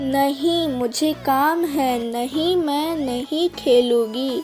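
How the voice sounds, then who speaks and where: A very slow, cartoonish character voice that sounds female, with clear music in the background. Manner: plaintive.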